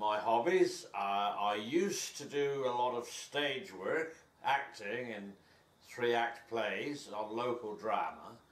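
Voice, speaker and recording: A man talks at a very slow pace in a relaxed tone. There is audible room echo and noticeable background noise. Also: medium pitch for a man, ordinary pitch variation. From Somerset, west of England. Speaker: host father, English immigrant. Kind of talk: casual interview. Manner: relaxed, with some hesitations.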